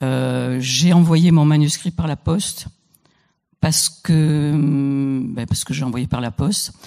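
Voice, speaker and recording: A woman speaks very slowly with a Marseille accent. Her pitch is very deep and low, with ordinary variation. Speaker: poet and writer. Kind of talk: panel talk. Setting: stage with audience. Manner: halting.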